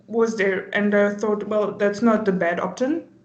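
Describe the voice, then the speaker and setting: A woman speaks at a medium pitch. Audible room echo can be heard. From Germany. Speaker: volunteer. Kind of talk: casual interview. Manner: hesitant, many fillers.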